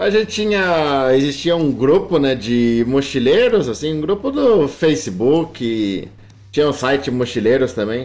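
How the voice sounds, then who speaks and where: A man talks at a fairly slow pace with a fairly high pitch. His pitch swings very widely. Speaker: travel YouTuber. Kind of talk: casual interview.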